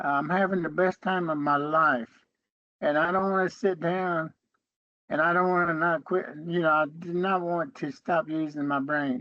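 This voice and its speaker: With an Appalachian accent, a man speaks at a moderate pace. His voice is high, and his intonation fairly even. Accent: Appalachian Southern US English. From western North Carolina, US. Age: 70s. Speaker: Cherokee elder and educator. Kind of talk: interview conversation.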